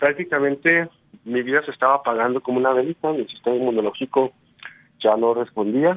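This is a man with a normal speaking voice. He talks at a fairly quick pace. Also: medium pitch for a man, ordinary pitch variation. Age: 30s. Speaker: radio guest sharing faith story. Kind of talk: testimony.

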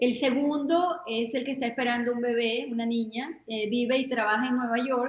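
A woman talks at a moderate pace with hardly any pauses. Her pitch is high and her intonation fairly even. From Venezuela. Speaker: retired HR executive and volunteer. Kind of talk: interview.

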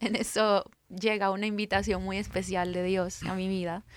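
A woman with a Guatemalan accent, medium pitch, monotone, flat intonation and a fairly slow pace. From Guatemala, Guatemala City. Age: 30s. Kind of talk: faith testimony interview.

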